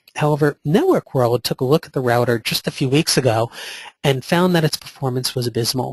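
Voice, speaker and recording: A man speaks at a very fast pace in a fairly high, somewhat breathy voice with ordinary pitch variation, the sound dry and close with no echo. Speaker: vendor presenter. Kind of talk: webinar presentation with Q&A. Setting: online webinar.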